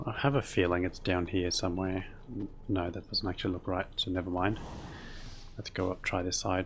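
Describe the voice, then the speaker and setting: This man has an Australian accent and a very deep, low pitch, with a relaxed, calm tone. He speaks at a fairly quick pace, somewhat breathy, with fairly even intonation. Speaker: video game streamer. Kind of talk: casual gameplay commentary. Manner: mumbly, words rolled together; relaxed, calm pace.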